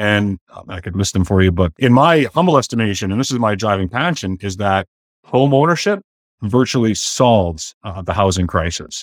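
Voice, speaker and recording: A man speaks with a western Canadian accent and big swings in loudness. The sound is dry and close with no echo, on a very clean recording with a silent background. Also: fairly low pitch for a man, lively intonation, moderate pace. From Canada, southern Alberta (Blackfoot). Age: 50s. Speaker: realtor and entrepreneur, former pastor. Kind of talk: interview conversation.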